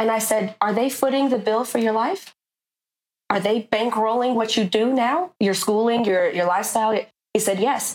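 A woman uses a normal speaking voice, fairly high in pitch, with ordinary pitch variation. Her pace is moderate and her loudness very even. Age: 30s. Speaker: artist. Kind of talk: casual interview.

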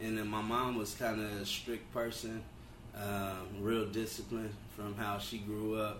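A man with an American accent speaks at a fairly slow pace in a monotone, flat intonation. Audible room echo and noticeable background noise fill the recording. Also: fairly low pitch for a man. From Los Angeles (Compton, South Central). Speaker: barbershop owner and entrepreneur. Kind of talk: casual interview about life story.

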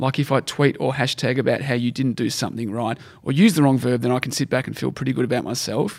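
At a very fast pace, a man with an Australian accent talks in a medium pitch with ordinary variation. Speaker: podcast co-host. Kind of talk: casual chat. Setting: studio.

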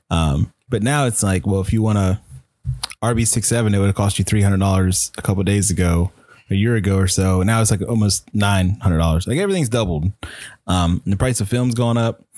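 A man with an unremarkable speaking voice talks at a fairly quick pace, fairly low in pitch with ordinary pitch variation and very even loudness. The recording is very clean and silent behind him, with a dry, close sound and no echo. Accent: American. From US South, Virginia (Chesapeake). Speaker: hobbyist photographer. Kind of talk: casual chat.

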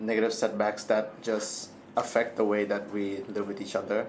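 There is noticeable background noise and audible room echo as a man speaks at a moderate pace with a fairly low pitch. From Thailand. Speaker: university student. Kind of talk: casual chat.

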